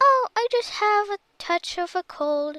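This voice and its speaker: Squeaky and extremely high in pitch, a woman's put-on character voice moves at a fairly slow pace. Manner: feigned, coaxing, with a fake cough.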